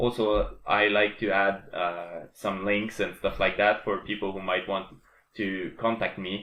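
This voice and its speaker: A man with a French Canadian accent talks at a fairly slow pace in a monotone with flat intonation. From Quebec. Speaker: programmer and game developer. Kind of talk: casual tutorial / dev vlog. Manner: halting, many fillers and restarts.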